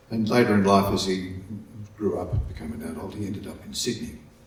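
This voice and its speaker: Heard with audible room echo, a man talks at a moderate pace in a fairly low pitch with ordinary pitch variation. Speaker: folk music archivist. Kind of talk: conference presentation. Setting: conference hall with audience, microphone. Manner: halting.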